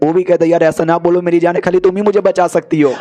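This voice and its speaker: A man's high-pitched voice at a moderate pace, fairly even intonation, dry and close with no echo, over noticeable background noise. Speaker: anime recap narrator. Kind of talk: casual Hindi anime recap narration. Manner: chatty, informal.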